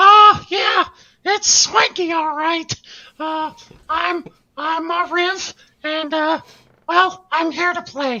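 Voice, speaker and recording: In a put-on character voice, the speaker talks at an extremely high pitch and a very slow pace with long, frequent pauses. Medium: actual play. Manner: hesitant, drawling.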